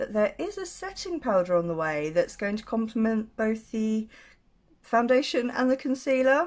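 A woman speaks with very wide pitch swings against a quiet background. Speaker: makeup vlogger. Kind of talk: casual vlog chat. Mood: candid, slightly rueful. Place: home room. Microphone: phone near.

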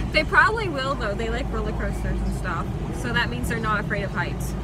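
Loud background noise runs behind a woman speaking at a fairly quick pace. Her sound is dry, with no echo. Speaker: passenger vlogger. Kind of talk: casual vlog chat. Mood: cheerful, laughing. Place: car. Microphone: phone near.

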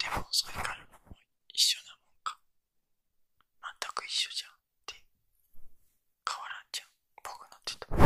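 Whispering at a moderate pace, a man leaves long, frequent pauses, with big swings in loudness. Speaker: ASMR creator. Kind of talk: ASMR trigger video with casual chatter. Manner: whispered, soft-spoken.

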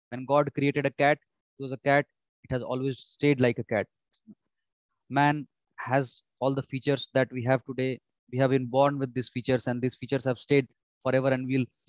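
Monotone and flat, a man speaks at a fairly quick pace in a dry sound with no echo and a quiet background. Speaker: exam prep teacher. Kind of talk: lecture. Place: home room. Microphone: webcam.

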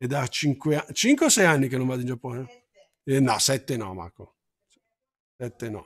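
A man speaks at a fairly slow pace and a medium pitch, with ordinary pitch variation. His loudness swings widely, and his pauses are long and frequent. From Milan, Italy. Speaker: Japanese language teacher. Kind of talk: live-streamed language lesson.

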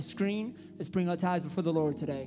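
Over noticeable background noise, a man talks very fast in a high pitch with an upbeat tone. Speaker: church worship leader. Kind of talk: church announcements. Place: church. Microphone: handheld.

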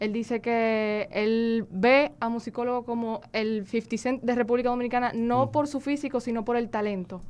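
A woman talks at a moderate pace, keeping her intonation fairly even. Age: young. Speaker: interpreter. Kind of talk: live interpreting. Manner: halting. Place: studio. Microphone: studio mic.

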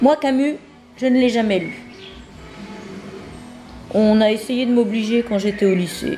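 With music in the background, a woman speaks at a fairly high pitch and fairly slow pace, with ordinary pitch variation and long, frequent pauses. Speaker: author reading her own manuscript. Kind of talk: reading aloud of own autobiographical book.

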